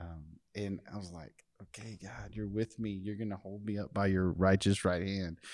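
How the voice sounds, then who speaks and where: A man with an unremarkable speaking voice and an American accent talks at a moderate pace in a fairly low pitch, with hardly any pauses, on a very clean recording with a silent background. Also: fairly even intonation, big swings in loudness. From Texas, Fort Bend County. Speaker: nonprofit CEO. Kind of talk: interview conversation.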